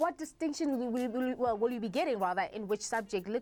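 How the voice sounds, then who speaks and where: A woman's put-on character voice, high-pitched and mumbling, with lively intonation at a very fast pace. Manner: mumbling, stumbling over words.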